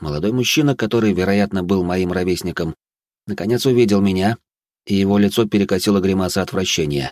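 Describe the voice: Against a quiet background, the speaker does plain reading aloud.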